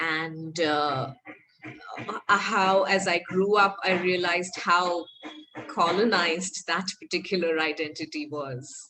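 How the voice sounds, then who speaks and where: Delivery is very slow, with ordinary pitch variation. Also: woman, fairly low pitch for a woman. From India (south-born, raised in western India). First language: a South Indian language. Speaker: workshop facilitator. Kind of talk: interactive workshop discussion.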